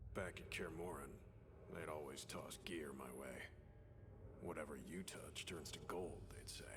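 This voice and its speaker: A man whispers in a put-on character voice with long, frequent pauses over loud background noise. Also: moderate pace. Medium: machinima. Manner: terse, clipped.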